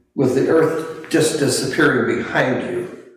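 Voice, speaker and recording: Room echo is audible. A man speaks at a fairly slow pace. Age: 90s. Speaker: artist and WWII navy pilot veteran. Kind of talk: interview, reminiscing. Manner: halting.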